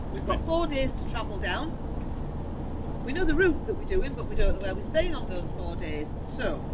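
A woman talks at a moderate pace. Loud background noise is present. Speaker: travel vlogger. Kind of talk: casual vlog chat. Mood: cheerful, excited. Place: car. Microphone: camera far.

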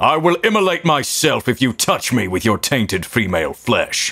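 A man performs a put-on character voice with very wide pitch swings. His loudness stays very even. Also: fairly high pitch for a man, moderate pace. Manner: solemn, stern.

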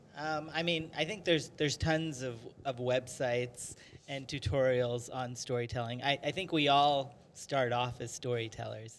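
A man talks at a very slow pace with ordinary pitch variation, light background noise audible. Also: medium pitch for a man. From US (Maryland), Indian family. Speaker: writer and filmmaker, film professor; film professor. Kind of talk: interview. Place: studio. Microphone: handheld.

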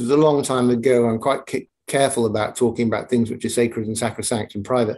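His tone is dark and mellow. This man is heard against a quiet background. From Northumberland, England. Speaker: ritualist, storyteller and life coach. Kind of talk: podcast interview answer. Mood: reflective, calm storytelling. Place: home room. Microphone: video call.

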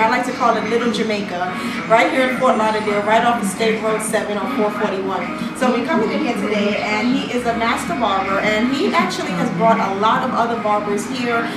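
A woman speaks at a fairly quick pace with hardly any pauses. There is audible room echo and loud background noise. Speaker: show host. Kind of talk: on-location interview. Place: shop.

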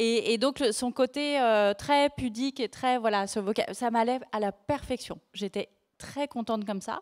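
A woman's lively intonation comes through against a quiet background. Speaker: journalist and author; journalist. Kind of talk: live book talk. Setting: bookfair stage, livestreamed. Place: stage. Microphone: handheld.

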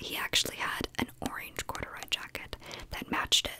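A soft-spoken woman at a moderate pace, against loud background noise. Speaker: content creator. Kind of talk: casual storytelling vlog chat. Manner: soft close-mic ASMR speaking. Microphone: studio mic.

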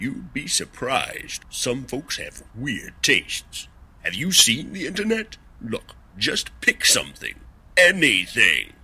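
A man performs a cartoonish character voice. He speaks at a fairly high pitch and a fairly slow pace. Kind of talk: comedic sketch dialogue. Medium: puppet show. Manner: wisecracking, impatient. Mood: wry, pushy.

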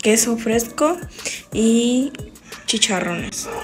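Over clear music in the background, a woman speaks with fairly even intonation. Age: 20s. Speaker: home vlogger. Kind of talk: casual vlog talk to camera. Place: kitchen. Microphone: phone near.

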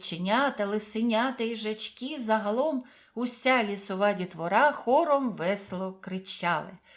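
A reading voice that is unforced

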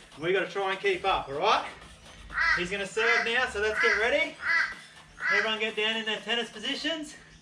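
Over loud background noise, a man talks at a fairly quick pace. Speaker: kids fitness instructor. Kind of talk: exercise class instruction. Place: garden. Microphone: camera far.

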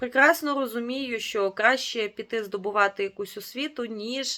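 A woman's fairly high, bright and sharp voice with ordinary pitch movement at a moderate pace, on a very clean recording with a silent background. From Ukraine, Rivne region. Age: 30s. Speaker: vlogger, mother of four. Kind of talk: casual vlog narration.

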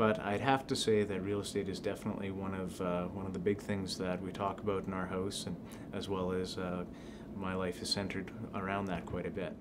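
The speaker has a Canadian Prairie accent and monotone, flat intonation. Noticeable background noise is present. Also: man, very deep, low pitch for a man. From southern Manitoba, Canada. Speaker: real estate agent. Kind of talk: self-introduction video. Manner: hesitant, many fillers. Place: office.

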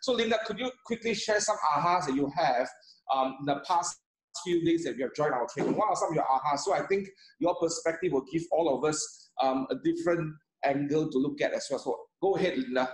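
Amid audible room echo, a man with a high pitch talks at a fairly quick pace. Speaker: host of online training. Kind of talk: webinar hosting. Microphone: video call.

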